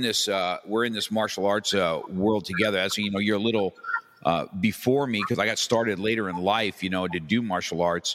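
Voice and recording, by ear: A man speaks at a moderate pace with a fairly low pitch and a fairly bright tone.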